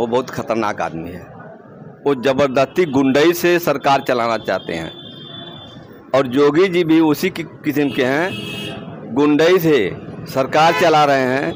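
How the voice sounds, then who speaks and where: A man with a fairly high pitch uses lively intonation as background noise comes through noticeably. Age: 60s. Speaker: local resident interviewed on the street. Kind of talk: street interview, political opinion. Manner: animated.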